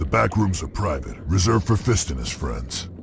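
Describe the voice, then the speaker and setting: Over clear background noise, a man puts on a character voice with a very deep, low pitch at a moderate pace. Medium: video game. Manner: curt, menacing.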